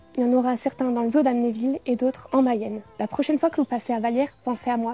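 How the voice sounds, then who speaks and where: A woman's high voice at a very fast pace, with fairly even intonation, in a dry, close sound with no echo. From Moselle, France. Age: 20s. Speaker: beauty pageant contestant. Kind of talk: scripted narration.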